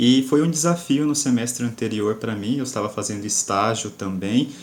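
A man's normal speaking voice at a medium pitch and moderate pace, with ordinary pitch variation. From Cuiabá, Brazil. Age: 20s. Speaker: engineering student and tutor. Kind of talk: casual panel discussion.

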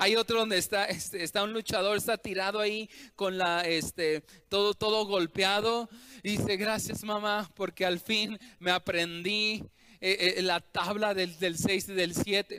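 Using a raised, projected voice, a man with a high pitch and a bright, sharp tone speaks at a fairly slow pace in a flat monotone, with a dry, close sound and no echo. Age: 30s. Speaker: pastor. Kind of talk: sermon.

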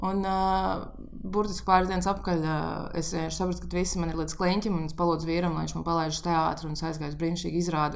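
Amid noticeable background noise and audible room echo, a woman with a fairly low pitch speaks in a flat monotone. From Riga, Latvia. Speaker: pastry chef. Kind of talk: casual chat.

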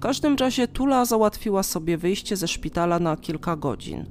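Music plays behind a woman of medium pitch speaking at a moderate pace. Her tone is calm and solemn, while her intonation is lively. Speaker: true-crime podcaster. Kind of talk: true-crime narration, measured storytelling of a victim's last morning. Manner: calm, even, solemn; detailed, matter-of-fact, steady pace.

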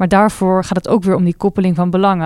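In a very clean recording with a silent background, a woman speaks at medium pitch with monotone, flat intonation. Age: 20s. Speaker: university researcher. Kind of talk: interview.

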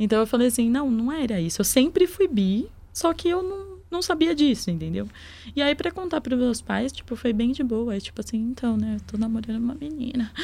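A woman's high, dark, mellow voice with very wide pitch swings. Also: fairly quick pace. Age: 20s. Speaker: podcast guest. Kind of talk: casual chat.

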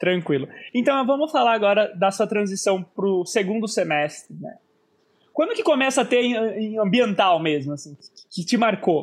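Lively in intonation, a man speaks at a moderate pace with a high pitch. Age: 20s. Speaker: podcast host. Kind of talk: casual chat. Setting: live stream.

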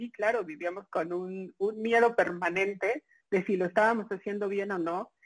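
Against a quiet background, a woman speaks in a medium-pitched voice with ordinary pitch variation. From Mexico City. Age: 30s. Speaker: journalist. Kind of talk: interview. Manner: hesitant, many fillers.

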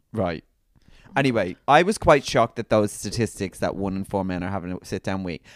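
Spoken with a British accent at a fairly quick pace, the voice has a dry, close sound with no echo. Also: man, fairly low pitch for a man, ordinary pitch variation, very clean recording, silent background. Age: 30s. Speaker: podcast co-host. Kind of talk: casual chat. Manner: animated.

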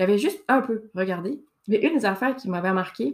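A woman speaks with a Saguenay accent. Her pitch is medium. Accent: Quebec French (Saguenay). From Quebec, Saguenay. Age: 30s. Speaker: podcast host. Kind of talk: casual monologue. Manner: hesitant, many fillers. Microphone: new microphone, good sound.

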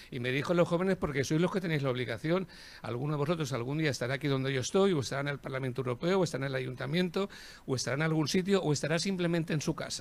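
Rattling along at a very fast pace, a man talks at a fairly high pitch with ordinary pitch variation. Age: old. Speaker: cultural institution director. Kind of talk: formal speech.

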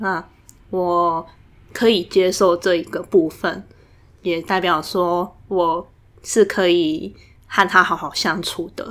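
A woman with a fairly low pitch speaks at a very slow pace, with long, frequent pauses and fairly even intonation. The recording is very clean, with a silent background. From Taiwan, Tainan. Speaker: graduate student. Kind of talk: casual interview chat.

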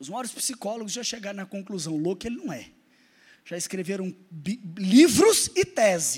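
At a moderate pace, a man with a high pitch speaks in an animated tone and lively intonation, leaving long, frequent pauses. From Minas Gerais, Brazil (Araxá). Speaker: pastor. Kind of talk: sermon with personal testimony. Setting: church service with congregation.

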